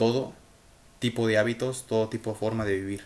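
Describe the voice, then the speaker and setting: A man talks at a moderate pace with a Mexican accent. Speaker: podcaster and amateur writer. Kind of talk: motivational monologue. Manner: halting, self-correcting speech; animated, emphatic.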